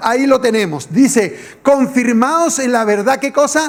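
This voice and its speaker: Over noticeable background noise, a man speaks at an extremely high pitch in an animated tone, with ordinary pitch variation and a fairly slow pace. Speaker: pastor. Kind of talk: sermon.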